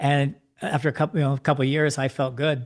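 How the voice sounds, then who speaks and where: Over a quiet background, a man talks at a fairly quick pace. His voice is medium in pitch and somewhat breathy. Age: 70s. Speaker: life coach. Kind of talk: interview.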